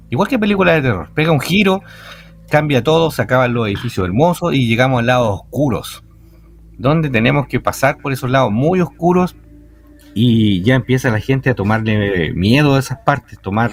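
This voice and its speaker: Very wide pitch swings mark a man speaking at a moderate pace with music in the background. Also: medium pitch for a man. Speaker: night cemetery tour guide. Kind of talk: radio interview answer.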